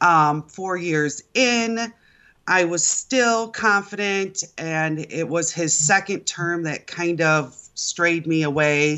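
Speaking with an American accent, a woman shows ordinary pitch variation. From Michigan. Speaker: voter, works in family automotive business. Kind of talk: radio call-in interview.

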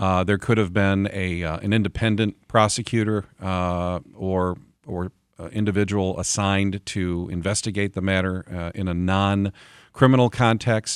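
In a very clean recording with a silent background, a man with a fairly low pitch talks at a moderate pace in a monotone, flat intonation, the sound dry and close with no echo. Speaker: local official and former state lawmaker. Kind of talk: radio interview. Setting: studio.

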